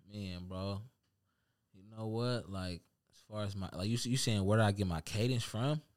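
With an American accent and an ordinary speaking voice, a man at a fairly low pitch speaks at a moderate pace with ordinary pitch variation and big swings in loudness. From Seattle, Central District. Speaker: rapper. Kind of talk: casual chat.

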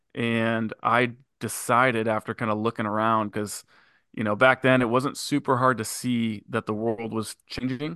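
A man's bright, sharp, medium-pitched voice in monotone, flat intonation, at a moderate pace, with a dry, close sound with no echo and a quiet background. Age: 30s. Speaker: business partner and manager. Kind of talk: casual interview.

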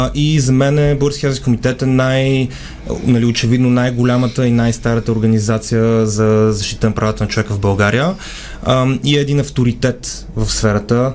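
There is noticeable background noise. A man of medium pitch speaks with fairly even intonation. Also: very even loudness. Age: young. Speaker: human rights lawyer. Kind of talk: radio interview.

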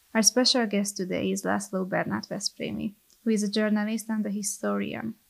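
A woman's somewhat breathy voice. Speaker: researcher. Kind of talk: podcast interview. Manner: formal.

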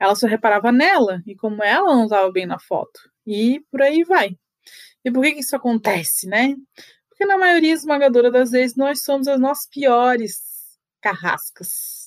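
A high-pitched woman with lively intonation at a moderate pace. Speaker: photographer and podcast host. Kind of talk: solo podcast monologue. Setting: home, seated on bed by the window.

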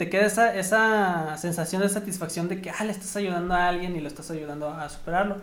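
There is audible room echo around a man whose voice is high-pitched, with ordinary pitch variation. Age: 20s. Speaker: engineer and teacher. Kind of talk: casual interview chat.

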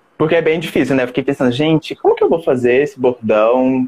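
This man talks at a fairly quick pace. The sound is dry and close, with no echo. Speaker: actor and podcast host. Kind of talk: casual chat. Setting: live video stream from home. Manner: animated.

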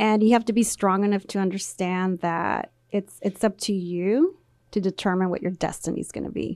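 A woman in a normal speaking voice, medium in pitch, talks at a moderate pace with fairly even intonation, recorded very cleanly against a silent background with a dry, close sound and no echo. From Central Valley, California. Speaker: union executive and accountant. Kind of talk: casual radio interview. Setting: radio studio.

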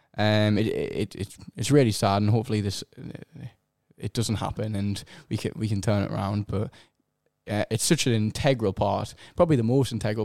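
A man with a strong Sunderland accent speaks in a dark, mellow tone. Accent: strong regional (Sunderland). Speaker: musician. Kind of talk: casual chat. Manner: halting.

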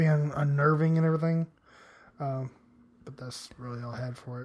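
A man talks at a very fast pace. His voice is somewhat breathy, with ordinary pitch variation. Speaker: podcast co-host. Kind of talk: casual chat. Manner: giggly.

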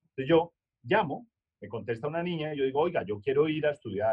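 This man's pitch is fairly high, and he keeps a moderate pace. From Colombia, Manizales. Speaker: customer service speaker and author. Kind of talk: webinar lecture.

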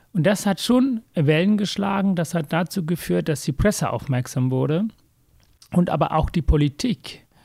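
A man with a high-pitched voice speaks at a moderate pace with lively intonation. The recording is very clean and dry, close with no echo and a silent background. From Sri Lanka, raised in Hamburg from age 13. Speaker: heart surgeon and author. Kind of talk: interview, personal life story.

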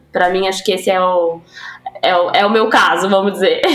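Against noticeable background noise, a woman with a medium pitch speaks at a fairly quick pace with monotone, flat intonation. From São Paulo, Brazil (East Zone). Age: 30s. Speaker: advertising production lead. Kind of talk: casual interview.

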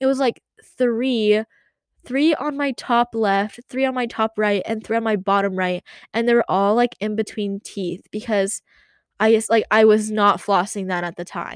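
Fairly high in pitch, a woman speaks at a fairly slow pace. The sound is dry and close with no echo, in a very clean recording with a silent background. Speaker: podcaster. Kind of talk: casual solo rant. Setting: home closet room. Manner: monotone.

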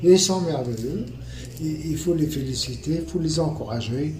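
Fairly high male pitch, with audible room echo and noticeable noise in the background. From Tunisia. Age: 70s. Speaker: retired banker, stroke survivor. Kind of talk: interview testimony.

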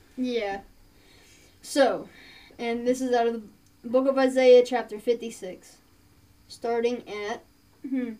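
In an Appalachian accent, the voice has a dark, mellow tone and flat, monotone intonation, moving at a fairly slow pace with long, frequent pauses. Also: woman, high pitch for a woman. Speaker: podcast co-host. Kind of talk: casual chat.

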